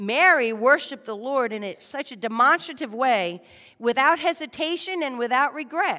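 On a very clean recording with a silent background, a woman speaks at a moderate pace in a high, bright, sharp voice with lively intonation. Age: 40s. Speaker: lay preacher. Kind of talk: sermon. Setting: church.

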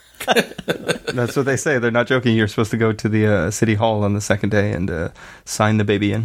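Fairly quick and fairly even in intonation, a man speaks with fairly low pitch. It is a plain, everyday voice. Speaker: podcast host, new father. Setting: home, baby sleeping in room.

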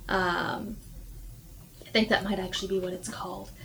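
A woman talks with an American accent. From Texas (Houston). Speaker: high school teacher. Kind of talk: casual chat. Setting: art studio.

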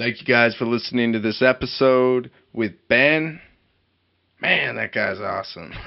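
Speaking at a fairly slow pace, a man has an unremarkable speaking voice, a medium pitch and ordinary pitch variation. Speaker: podcast host. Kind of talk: scripted intro and outro.

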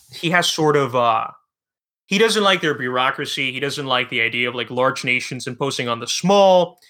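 Captured in a very clean recording with a silent background, a man speaks with a bright, sharp tone. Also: fairly high pitch for a man, lively intonation, moderate pace. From Cuba. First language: Spanish. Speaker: history podcaster. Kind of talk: casual interview.

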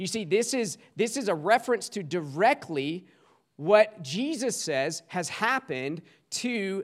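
A man speaks very slowly in a high voice with a Southern US accent and lively intonation. The recording is very clean, with a silent background. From US South, small-town South Carolina. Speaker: guest preacher. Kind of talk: sermon.

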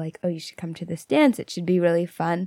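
A woman with an unremarkable speaking voice talks with fairly even intonation. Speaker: podcast co-host. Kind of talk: casual chat.

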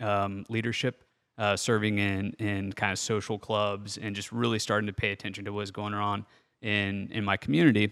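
Recorded very cleanly against a silent background, an ordinary speaking voice with an American accent moves at a moderate pace. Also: man. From central Ohio, small town northwest of Columbus. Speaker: entrepreneur and startup investor. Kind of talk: interview conversation. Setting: in-person at host's property.

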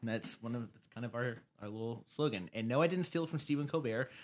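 A man speaks at a medium pitch and a fairly quick pace with ordinary pitch variation. The recording is very clean with a silent background. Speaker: podcast guest. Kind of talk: casual chat. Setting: studio. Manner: loud.

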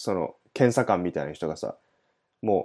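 A man's dark, mellow voice with vocal fry, at a moderate pace. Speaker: podcast host. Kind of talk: casual chat.

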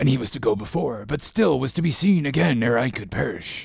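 A man's put-on character voice at medium pitch, fairly quick, with lively intonation, vocal fry, a husky, rough edge and a slightly mellow tone.

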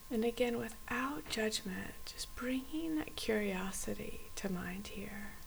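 At a fairly slow pace with hardly any pauses, the voice carries a soothing, warm tone over noticeable background noise. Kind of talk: guided meditation. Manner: slow, soft, calm and gently paced with long pauses; soothing, inviting, warm.

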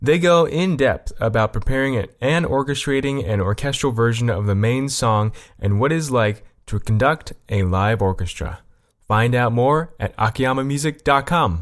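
A man with a normal speaking voice talks at a moderate pace and medium pitch, with lively intonation and very even loudness, in a very clean recording with a silent background. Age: 20s. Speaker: podcast co-host. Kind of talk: casual chat.

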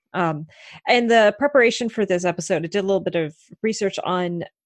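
A woman's medium-pitched voice at a fairly quick pace, dry and close with no echo. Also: quiet background. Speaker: podcast host.

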